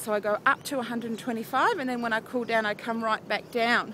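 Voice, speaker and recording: In an Australian accent, a woman with a high pitch speaks in an upbeat tone at a fairly quick pace. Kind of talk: casual vlog talk to camera. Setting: outdoors. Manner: chatty, upbeat.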